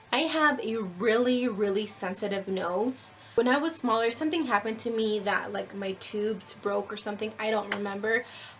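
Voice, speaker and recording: With hardly any pauses, a woman talks at a fairly high pitch over noticeable background noise. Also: ordinary pitch variation, moderate pace. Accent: American. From New Mexico, US. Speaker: beauty vlogger. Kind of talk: casual vlog monologue. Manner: animated.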